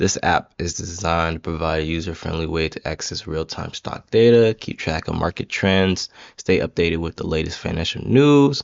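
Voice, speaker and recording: This man's pitch is very deep and low. Its variation is ordinary. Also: moderate pace, hardly any pauses. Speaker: student presenting app project. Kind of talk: project presentation. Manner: filler-heavy, casual; halting, stumbling over words.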